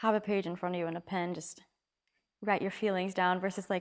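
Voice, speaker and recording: A soft-spoken woman talks at a fairly quick pace. The recording is very clean, with a silent background. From Trinidad. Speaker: singer-songwriter. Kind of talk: casual interview. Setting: studio.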